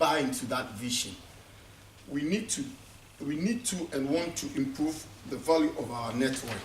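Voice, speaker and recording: A fairly high-pitched man with very wide pitch swings, in audible room echo. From Ghana. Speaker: conference speaker. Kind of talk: conference speech. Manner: halting, with many repetitions.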